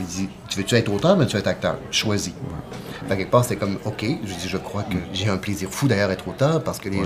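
Amid noticeable background noise, a man with a Quebec accent speaks with ordinary pitch variation. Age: 40s. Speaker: playwright. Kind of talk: casual chat.

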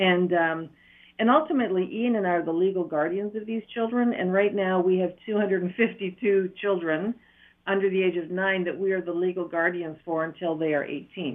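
Someone speaks with an Ontario accent at a moderate pace. The pitch varies in an ordinary way. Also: woman, medium pitch for a woman. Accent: Ontario Canadian. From Northern Ontario. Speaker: charity founder running orphanage. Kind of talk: radio interview.

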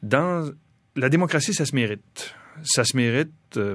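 A man talks very slowly. The background is silent and the recording very clean. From Quebec, Saguenay region. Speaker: biologist and professor. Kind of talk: radio interview.

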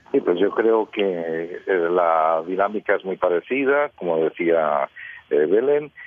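Speaking at a very slow pace with lively intonation, a man with a very deep, low pitch comes through over noticeable background noise. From Costa Rica. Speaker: radio journalist. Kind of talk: radio panel discussion.

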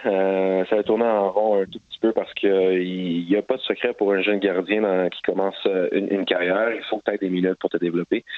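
A man with a Quebec accent talks at a moderate pace in a fairly low pitch. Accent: Québécois French. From Montreal, Quebec. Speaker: professional soccer goalkeeper. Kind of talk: interview. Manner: halting, many fillers.

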